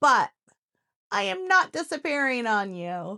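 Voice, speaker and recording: A woman's fairly high voice has a bright, sharp tone and very wide pitch swings. The sound is dry and close with no echo, on a very clean recording with a silent background. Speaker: crafting tutorial creator. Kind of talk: casual talk to camera. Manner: humorous, upbeat.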